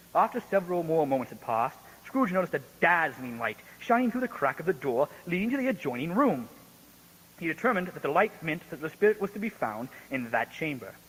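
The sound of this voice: A man talks at a fairly quick pace in a fairly high pitch for a man, his voice swinging widely up and down. The tone is fairly bright, with a slightly husky edge.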